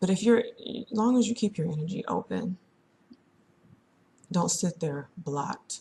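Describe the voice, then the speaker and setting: A soft-spoken woman of medium pitch talks at a fairly slow pace with long, frequent pauses. Her tone is dark, mellow and somewhat breathy, with lively intonation. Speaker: psychic reader. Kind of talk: casual monologue. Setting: at home, early morning. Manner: chatty.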